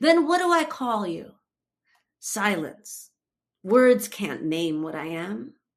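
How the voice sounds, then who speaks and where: With an American accent, the speaker moves at a very slow pace with long, frequent pauses, very wide pitch swings and big swings in loudness. The recording is very clean, with a silent background. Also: woman, medium pitch for a woman. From New Jersey, US. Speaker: poet and translator. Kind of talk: poetry reading. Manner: exuberant.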